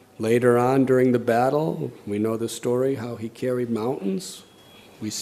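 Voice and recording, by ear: Reading aloud in a natural voice, the intonation fairly even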